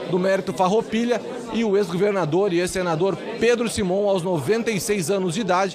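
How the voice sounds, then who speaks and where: With crowd noise in the background, a man with a high pitch talks at a fairly quick pace, his intonation fairly even. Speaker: political reporter. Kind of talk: live TV field report. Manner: fluent, unscripted.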